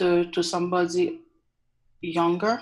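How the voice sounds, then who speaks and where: A woman speaks very slowly with a strong non-native accent. Her pitch sits fairly low. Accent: thick foreign. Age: 40s. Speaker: caller. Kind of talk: advice call-in. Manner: halting, many fillers.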